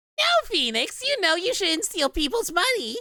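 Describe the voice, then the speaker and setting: This put-on character voice sits at an extremely high pitch, swinging very widely up and down at a moderate pace. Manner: mocking, playful.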